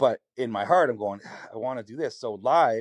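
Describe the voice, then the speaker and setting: A man with a Canadian accent talks at a fairly quick pace and medium pitch, with ordinary pitch variation, in a dry, close recording with no echo and a quiet background. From Canada, Hamilton, Ontario. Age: 40s. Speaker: singer-songwriter. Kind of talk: interview conversation.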